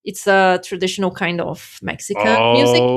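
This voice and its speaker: A woman with a Portuguese accent speaks at a moderate pace on a very clean recording with a silent background. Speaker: immigration worker and language teacher. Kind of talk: podcast interview.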